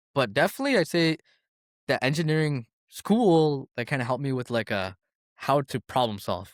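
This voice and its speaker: A man speaks with a Toronto accent and lively intonation. The recording is very clean, with a silent background. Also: moderate pace, dry, close sound with no echo. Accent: Canadian English (Toronto). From Toronto, Canada. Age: 20s. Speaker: engineer. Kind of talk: casual chat. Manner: filler-heavy, casual.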